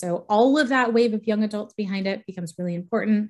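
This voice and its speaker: Against a quiet background, a woman talks at a medium pitch with ordinary pitch variation. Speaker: real estate economist, researcher. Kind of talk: presentation with slides. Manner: fast.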